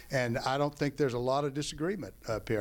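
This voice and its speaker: This very clean recording with a silent background captures an unremarkable speaking voice with ordinary pitch variation. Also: man. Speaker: county official and candidate. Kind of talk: candidate forum closing statement. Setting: public forum with audience.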